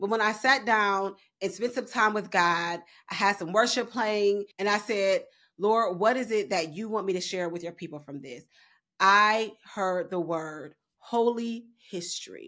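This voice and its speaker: A woman speaks at a fairly slow pace with ordinary pitch variation. Her loudness swings widely against a quiet background. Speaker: Bible study teacher. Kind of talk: Bible study teaching. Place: home room. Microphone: studio mic.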